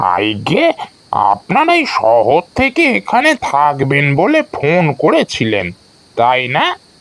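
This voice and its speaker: Fairly slow, fairly high-pitched put-on character voice from a man. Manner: grave, slow.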